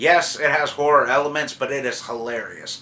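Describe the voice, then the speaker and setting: There is noticeable background noise as a man talks at a fairly quick pace with a fairly high pitch. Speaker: YouTube movie reviewer. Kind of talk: casual vlog monologue.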